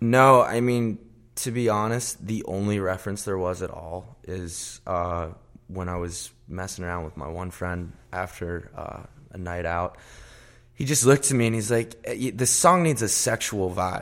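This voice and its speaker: With an ordinary speaking voice, a man talks at a moderate pace in a fairly low pitch with ordinary pitch variation, on a very clean recording with a silent background. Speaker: pop singer-songwriter. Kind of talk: casual interview. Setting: studio.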